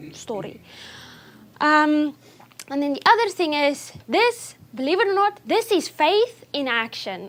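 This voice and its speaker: With a non-native accent, a woman speaks at a fairly slow pace and high pitch, her pitch swinging very widely. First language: not English. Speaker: nutrition speaker. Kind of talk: talk to an audience. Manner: speeds up when excited.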